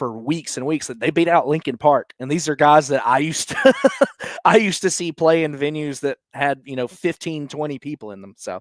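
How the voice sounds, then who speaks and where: An unremarkable speaking voice with an American accent and ordinary pitch variation. Its loudness swings a lot, and the sound is dry and close with no echo. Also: man, fairly high pitch for a man, moderate pace. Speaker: ring announcer, commentator and interviewer. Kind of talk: interview answer.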